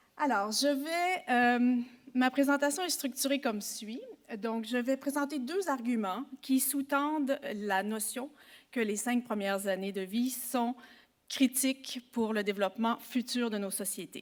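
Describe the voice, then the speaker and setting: With a Quebec accent, a woman with a high pitch talks at a very slow pace with ordinary pitch variation. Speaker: psychology professor. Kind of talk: conference talk. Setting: symposium with audience. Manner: formal.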